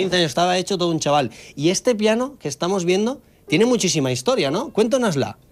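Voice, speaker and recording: Over noticeable background noise, a man speaks very fast at a high pitch, his voice swinging very widely up and down. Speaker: TV reporter. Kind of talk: TV interview questions.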